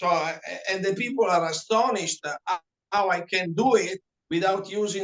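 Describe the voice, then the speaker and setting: A man with a non-native accent speaks at a moderate pace with a high pitch and ordinary pitch variation. The sound is dry and close, with no echo. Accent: foreign. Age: 70s. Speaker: reflexologist. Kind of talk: interview.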